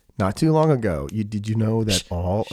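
The man's voice has a dark, mellow tone. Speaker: podcast host. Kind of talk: casual chat. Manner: loud.

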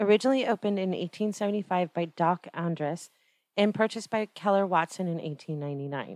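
A woman's medium-pitched voice with an American accent and ordinary pitch variation, dry and close with no echo, on a very clean recording with a silent background. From Orange, Southern California. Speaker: podcast host. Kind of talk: scripted narration; casual chat.

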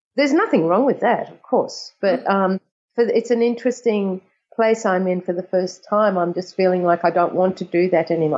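A woman with an Australian accent speaks at a medium pitch and moderate pace, showing ordinary pitch variation. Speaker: composer. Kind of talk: interview.

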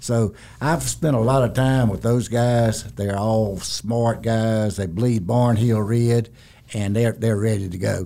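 A man speaks very slowly in a Southern US accent, at a medium pitch with ordinary pitch variation. His tone is dark and mellow. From South Carolina. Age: 70s. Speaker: retiring construction executive. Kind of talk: interview conversation. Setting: studio. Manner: few words, plain-spoken.

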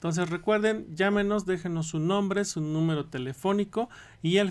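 With ordinary pitch variation, a man talks in an ordinary speaking voice. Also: very clean recording, silent background. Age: 40s. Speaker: medical doctor. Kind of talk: radio interview. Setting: radio studio.

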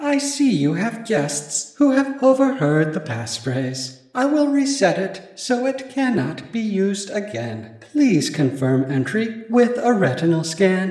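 In a put-on character voice, a man speaks slowly at a high pitch with big pitch swings and a slightly mellow tone, in a room with strong echo.

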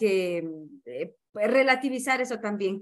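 At a fairly slow pace, a woman speaks with a normal speaking voice at a fairly high pitch. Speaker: theologian and sociologist. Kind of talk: interview.

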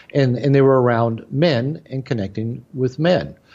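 Moving at a moderate pace, this man's voice has a dark, mellow tone. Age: 60s. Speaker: therapist and author. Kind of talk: interview. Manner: halting, frequent repeated words and fillers.

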